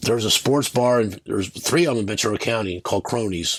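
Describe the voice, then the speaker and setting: This man's pitch is fairly low, with ordinary variation. He speaks at a very fast pace. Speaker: sports betting video host. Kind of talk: casual monologue. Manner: halting, with many repeated words.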